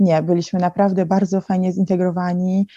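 Dry and close with no echo, the recording captures a woman of medium pitch whose somewhat breathy voice has a dark, mellow tone. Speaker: fashion digital consultant. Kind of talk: interview. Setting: video call.

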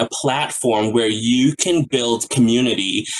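Over noticeable background noise, a man speaks at a fairly slow pace in a medium pitch with ordinary pitch variation. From Guyana. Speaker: counselor educator. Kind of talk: interview.

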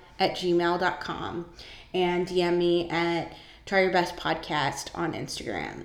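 A woman with an American accent, fairly slow pace, fairly even intonation, amid noticeable background noise. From Northern California. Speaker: podcast host. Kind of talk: casual solo monologue. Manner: casual, with many filler words.

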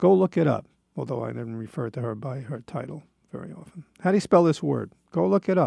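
A man speaks at a fairly quick pace with a dark, mellow tone and vocal fry. His pitch swings very widely, and the sound is dry and close with no echo. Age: 70s. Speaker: radio host. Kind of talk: monologue. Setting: studio. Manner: halting.

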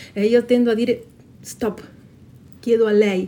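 A woman speaks at a fairly slow pace. Her voice is fairly high in pitch, with a dark, mellow tone. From Patagonia, Argentina. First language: Spanish (speaking Italian). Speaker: intercultural educator and storyteller. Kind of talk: interview answers with stories read aloud. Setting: live event at a festival.

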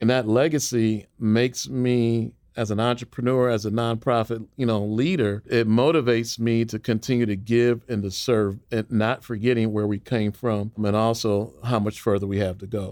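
This is a plain, everyday voice: a man at medium pitch with fairly even intonation. He goes at a moderate pace with hardly any pauses. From northern Illinois, Chicago area. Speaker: nonprofit leader and author. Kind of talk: interview.

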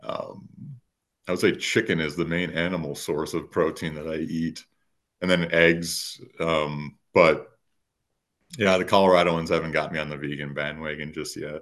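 Quiet background, a man with an American accent and a very deep, low pitch, monotone, flat intonation at a moderate pace. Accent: slight Minnesota accent, comes out at times. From rural Minnesota. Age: 30s. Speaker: writer and lifestyle coach. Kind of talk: casual interview. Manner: hesitant, many filler words.

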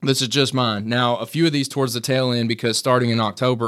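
A man's very fast, monotone delivery with flat intonation, on a very clean recording with a silent background. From Kentucky, Lexington. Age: 30s. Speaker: real estate team leader. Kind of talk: interview.

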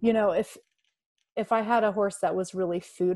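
A woman with an American accent speaks over a quiet background. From US South, North Carolina mountains. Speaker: horse trainer and coach. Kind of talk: interview.

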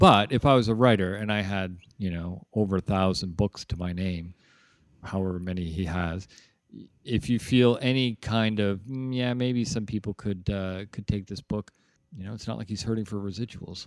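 A man with a Canadian accent uses an ordinary speaking voice, fairly low in pitch with fairly even intonation, at a moderate pace, on a very clean recording with a silent background and a dry, close sound with no echo. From Canada, Toronto (North York). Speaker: podcast co-host. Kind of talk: casual chat.

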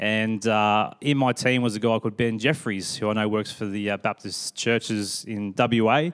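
At a moderate pace, a man with a fairly low pitch and fairly even intonation is heard in a very clean recording over a silent background. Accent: Australian. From Sydney, Australia. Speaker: pastor. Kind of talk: interview on church stage; sermon-style reflection. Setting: church stage with congregation.

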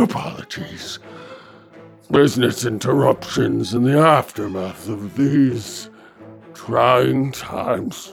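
A man uses a raspy put-on character voice of medium pitch at a very slow pace, with faint music in the background. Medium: audio drama. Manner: unctuous, flattering.

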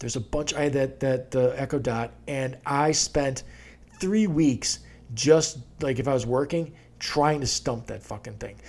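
A man speaks at a moderate pace with ordinary pitch variation. His is an ordinary speaking voice, with a fairly high pitch. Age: 40s. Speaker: podcast host. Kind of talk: casual chat.

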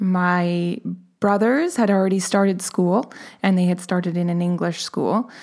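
At a fairly slow pace, a woman with an unremarkable speaking voice and a medium pitch speaks at very even loudness and with fairly even intonation, in a very clean recording with a silent background. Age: 30s. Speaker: new mother, administrative assistant. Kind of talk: casual chat.

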